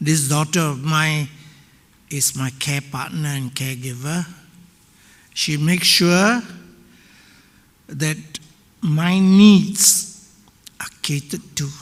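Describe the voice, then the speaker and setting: A man's fairly high voice, very slow, with ordinary pitch variation and long, frequent pauses. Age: 80s+. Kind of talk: audience remarks at panel discussion. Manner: halting.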